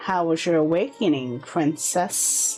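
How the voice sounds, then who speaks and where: A woman uses a put-on character voice at a fairly low pitch and a fairly slow pace. Faint music plays in the background. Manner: warm.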